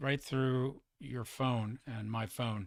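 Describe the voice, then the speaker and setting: Very slowly, a man talks in an American accent with fairly even intonation. The recording is very clean, with a silent background. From New York. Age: 60s. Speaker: political commentary host. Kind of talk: casual monologue commentary. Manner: halting, many fillers.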